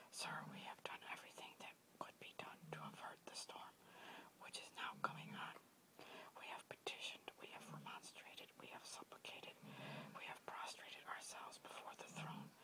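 Someone is whispering. The pace is moderate. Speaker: whisper video creator. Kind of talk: whispered reading of a historical speech. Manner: whispered.

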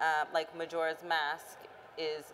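The speaker has an American accent. Light background noise can be heard. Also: woman. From Austin, Texas. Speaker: mental health researcher; panelist. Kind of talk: panel discussion. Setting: stage with audience. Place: hall.

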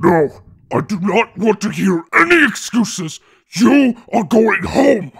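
At a fairly slow pace, a man performs a put-on character voice pitched high. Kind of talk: audio roleplay. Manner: worried, then angry.

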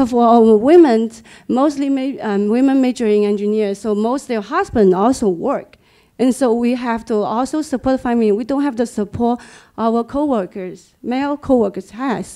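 A dark, mellow tone with a Chinese accent, ordinary pitch variation, a moderate pace and a very clean recording over a silent background. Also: woman, fairly high pitch for a woman. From China. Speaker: engineer. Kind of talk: audience comment.

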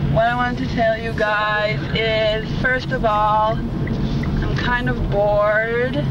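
A woman's voice in a dry sound with no echo, over loud background noise. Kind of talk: casual vlog chat. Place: car.

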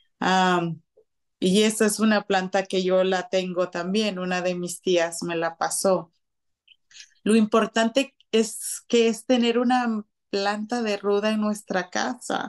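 Over a quiet background, a woman at medium pitch talks at a very slow pace with fairly even intonation. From Guatemala City. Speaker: house cleaning business owner. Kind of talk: radio interview.

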